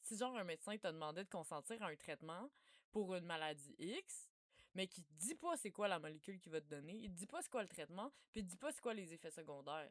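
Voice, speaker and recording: Talking at a very fast pace with lively intonation and big swings in loudness, a woman with a fairly low pitch comes through on a very clean recording with a silent background and a dry, close sound with no echo. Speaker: researcher. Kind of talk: informal talk. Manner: casual.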